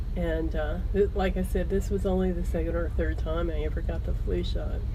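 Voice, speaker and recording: A woman with a very deep, low pitch speaks in a monotone, flat way at a moderate pace and very even loudness, with audible room echo and noticeable background noise. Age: 50s. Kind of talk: interview testimony. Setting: outdoors at a live rally. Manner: halting.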